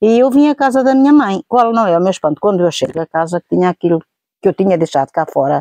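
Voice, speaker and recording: A woman talks at a very fast pace with very wide pitch swings. The sound is dry and close, without echo. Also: medium pitch for a woman. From central Portugal, Vieira de Leiria. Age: 70s. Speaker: eyewitness interviewee. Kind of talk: oral history interview. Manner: halting, with self-corrections.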